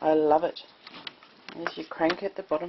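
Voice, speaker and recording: Noticeable background noise sits behind a woman with an Australian accent and a very deep, low pitch. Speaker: prepper. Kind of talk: casual talk to camera. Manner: slow.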